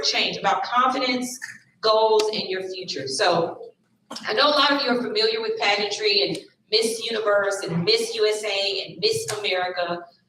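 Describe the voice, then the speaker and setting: With a Southern US accent, a woman speaks at a fairly high pitch with lively intonation, and audible room echo surrounds her voice. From US South, Tennessee. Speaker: lawyer and pageant titleholder, guest speaker. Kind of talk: motivational talk to students.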